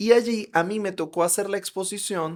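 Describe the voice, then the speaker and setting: A man speaks in an animated tone with a Venezuelan accent. The recording is very clean, with a silent background. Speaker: psychologist. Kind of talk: interview conversation.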